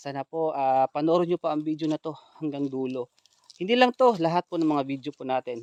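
Here is a man with an ordinary speaking voice and a fairly high pitch, heard in a dry, close sound with no echo. He talks at a fairly quick pace with ordinary pitch variation. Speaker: ghost hunter vlogger. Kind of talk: vlog narration.

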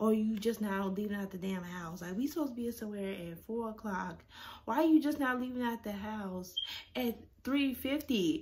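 A woman's somewhat breathy voice with lively intonation at a moderate pace, over light background noise. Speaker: vlogger. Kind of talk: casual vlog chat. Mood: annoyed, animated ranting. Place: home room. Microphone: phone near.

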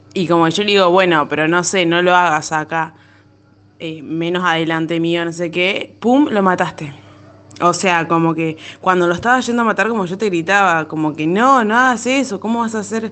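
Speaking in a Rioplatense accent, a woman keeps a moderate pace at a fairly low pitch with ordinary pitch variation. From Argentina, La Plata. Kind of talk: personal storytelling. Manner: halting, many fillers.

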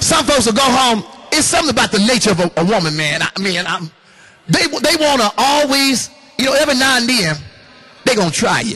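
With an extremely high pitch and very wide pitch swings, a man speaks in a raised, projected, animated voice at a fairly quick pace, keeping his loudness very even while taking long, frequent pauses. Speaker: pastor. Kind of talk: sermon. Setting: church with congregation. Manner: animated, call-and-response preaching with laughs and exhortation. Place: hall. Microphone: handheld.

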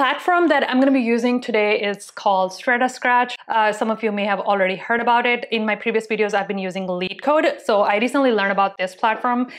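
At a very fast pace with hardly any pauses, a woman speaks with ordinary pitch variation. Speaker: tech video creator. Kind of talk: casual vlog chat, then tutorial. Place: home room. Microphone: lapel.

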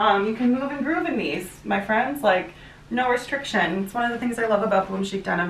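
A woman with an American accent speaks at a fairly quick pace with a fairly high pitch. Audible room echo surrounds her voice. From US Midwest. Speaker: fashion YouTuber. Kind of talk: try-on haul vlog. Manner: animated. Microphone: camera far.

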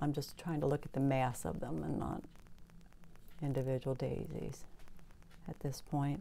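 A woman's very deep, low voice with vocal fry, a dark, mellow and relaxed tone, ordinary pitch variation, a moderate pace and long, frequent pauses. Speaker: painter. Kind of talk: tutorial. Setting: home studio, video. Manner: casual, relaxed.

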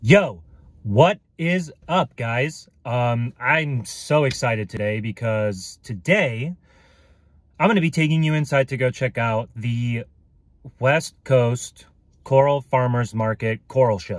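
A man speaks at a very slow pace in a somewhat breathy voice. The background is quiet and the sound is dry with no echo. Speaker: hobby vlogger. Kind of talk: casual vlog chat. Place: car. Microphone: phone near.

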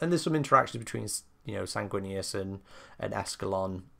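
A man's fairly low, bright, sharp voice with a British accent. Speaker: book reviewer. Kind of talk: casual review talk to camera.

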